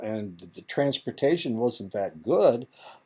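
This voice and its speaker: Fairly slow in pace, a man speaks in a Midwestern US accent. His tone is dark and mellow, his intonation lively. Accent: US Midwest. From Indiana. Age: 70s. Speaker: college lecturer. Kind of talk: lecture. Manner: halting, many fillers.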